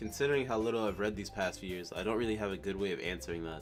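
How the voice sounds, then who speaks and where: The speaker uses ordinary pitch variation while music plays in the background. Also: man. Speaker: game playthrough reader. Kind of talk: reading a visual novel aloud.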